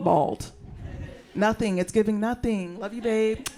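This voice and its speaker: At medium pitch, a woman with an American accent speaks with ordinary pitch variation. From US South, western North Carolina. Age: 30s. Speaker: stand-up comedian. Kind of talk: stand-up. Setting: stage with audience. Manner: animated.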